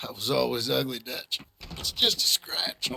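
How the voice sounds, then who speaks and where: Using a put-on character voice, a man speaks raspily at a moderate pace. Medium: video game.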